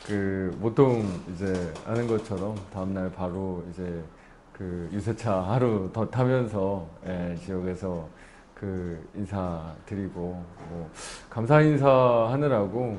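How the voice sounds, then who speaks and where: Very deep and low in pitch, a man's dark, mellow voice moves at a very slow pace with ordinary pitch variation. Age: 30s. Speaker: politician, newly elected member of parliament. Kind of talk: interview answer.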